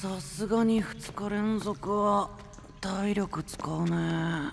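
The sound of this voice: A man puts on a cartoonish character voice, high-pitched and full of vocal fry. He talks at a very slow pace with ordinary pitch variation.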